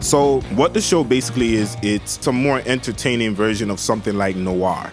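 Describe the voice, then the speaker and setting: At a moderate pace and with ordinary pitch variation, the voice is heard over music in the background. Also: man. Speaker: anime reviewer. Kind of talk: casual talk to camera. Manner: casual, relaxed.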